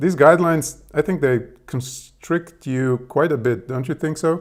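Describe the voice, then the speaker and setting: On a very clean recording with a silent background, a man with a Serbian accent speaks with ordinary pitch variation. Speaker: tech presenter testing AI. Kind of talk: live demo conversation with AI. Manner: halting with fillers.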